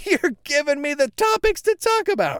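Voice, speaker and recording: A put-on, squeaky character voice, extremely high in pitch, at a moderate pace. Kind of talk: casual, podcast host. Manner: excited, animated.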